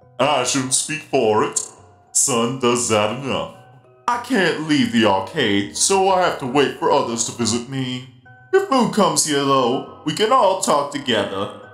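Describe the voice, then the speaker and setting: Faint music plays in the background as a man speaks at a moderate pace. He uses a put-on character voice with a fairly high pitch. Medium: dub. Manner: friendly, cheerful.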